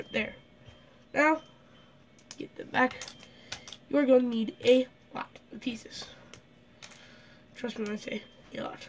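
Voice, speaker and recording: Over noticeable background noise, a woman with a high pitch talks at a fairly slow pace with fairly even intonation, big swings in loudness, and long, frequent pauses. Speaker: LEGO builder. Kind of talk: casual building tutorial narration.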